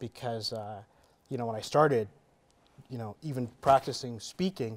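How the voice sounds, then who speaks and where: A man with a Canadian accent talks at a moderate pace, his medium pitch moving with ordinary variation. His loudness swings widely, and he takes long, frequent pauses. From Canada. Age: 30s. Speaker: entrepreneur and real estate investor; interview guest. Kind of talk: interview. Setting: studio. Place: studio.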